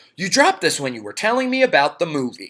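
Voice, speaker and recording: A man does a put-on character voice, high-pitched and very fast. His pitch swings very wide and his loudness varies greatly, on a very clean recording with a silent background. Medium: read story. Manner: casual, laid-back.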